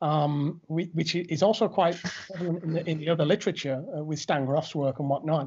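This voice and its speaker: A man talks fairly quickly at a fairly high pitch, with fairly even intonation. It is a normal speaking voice. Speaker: podcast host. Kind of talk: interview conversation.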